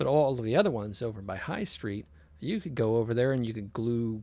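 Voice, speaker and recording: The speaker has an American accent and ordinary pitch variation. The recording is very clean, with a silent background. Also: man. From US West Coast, San Jose, California. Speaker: electronic musician. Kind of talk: casual chat. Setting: home studio.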